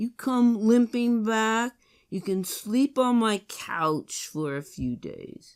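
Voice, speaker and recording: In a put-on character voice, a female-sounding speaker goes at a very slow pace with a fairly high pitch on a very clean recording with a silent background. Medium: read story. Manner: blunt, skeptical.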